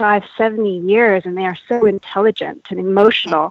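A woman's normal speaking voice with a Canadian accent, medium in pitch, fairly even in intonation, at a moderate pace. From Canada. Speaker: animal welfare campaigner. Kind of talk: interview.

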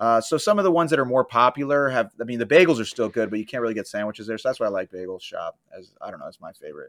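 A man's medium-pitched voice with an American accent, very fast and lively in intonation, with big swings in loudness. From Florida. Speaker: comedian and tour guide. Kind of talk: casual interview chat. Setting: studio without AC.

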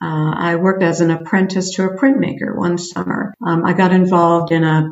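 Speaking with a Canadian accent, a woman uses a fairly low pitch at a moderate pace. Noticeable background noise runs underneath. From Canada (small town). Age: 50s. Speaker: program evaluator and arts researcher. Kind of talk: interview about career story.

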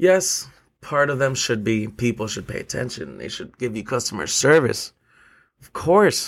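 On a very clean recording with a silent background, a man speaks at a moderate pace and medium pitch with vocal fry, very wide pitch swings and big swings in loudness. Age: 20s. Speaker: podcast host and bartender. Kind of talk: casual solo podcast monologue. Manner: animated.

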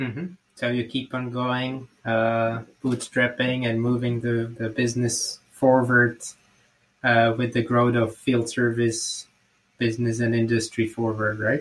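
With a Slovak accent, a man speaks at a medium pitch and a fairly slow pace. His intonation is monotone and flat. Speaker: podcast host. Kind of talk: interview.

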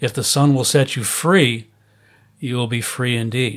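A man's plain, everyday voice with an American accent, medium in pitch, fairly slow and fairly even in intonation. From US Midwest, Chicago area. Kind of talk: interview.

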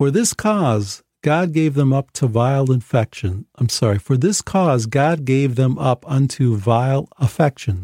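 A natural voice reading aloud, set against quiet surroundings

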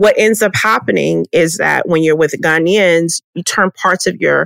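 Recorded with a dry, close sound and no echo, a woman speaks at a fairly slow pace with a Texan accent. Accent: Texan American English. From Texas. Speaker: podcast host. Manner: animated.

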